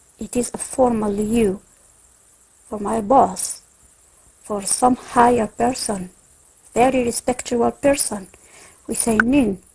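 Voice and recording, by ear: Her voice is fairly high, slightly mellow, with vocal fry and a husky, rough edge. The woman speaks at a slow pace.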